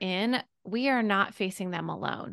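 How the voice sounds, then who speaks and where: A woman with an American accent and a plain, everyday voice speaks at a fairly slow pace with ordinary pitch variation over a quiet background. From US, Pittsburgh, Pennsylvania. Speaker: former teacher, homeschool educator and business founder. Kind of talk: interview, casual conversation.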